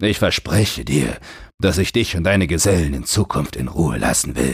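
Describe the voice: A man's put-on character voice at an extremely low pitch, husky and rough-edged with vocal fry, lively intonation and a moderate pace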